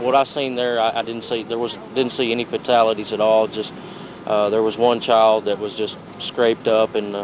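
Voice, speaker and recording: Over noticeable background noise, a man talks at a fairly quick pace in a flat, monotone delivery. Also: medium pitch for a man. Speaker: volunteer firefighter, eyewitness. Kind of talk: interview answer.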